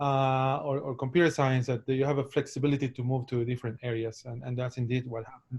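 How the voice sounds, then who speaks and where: Against a quiet background, a man with a Spanish accent talks at a very fast pace and medium pitch. His somewhat breathy voice keeps a monotone, flat intonation. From Ecuador, Guayaquil. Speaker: professor, microbiologist. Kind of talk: academic talk. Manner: halting, many repetitions and fillers.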